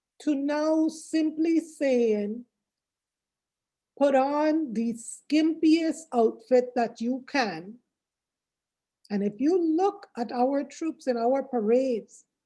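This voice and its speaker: Very slow and broken by long, frequent pauses, a woman with an American accent speaks at a high pitch, her dark, mellow tone carried by lively intonation. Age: 60s. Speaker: workshop speaker. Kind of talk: speech.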